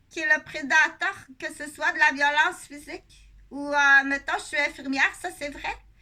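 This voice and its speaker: A woman projects her raised voice at a high pitch, her tone bright and sharp. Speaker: nurse and video blogger. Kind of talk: casual monologue vlog. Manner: halting, many fillers.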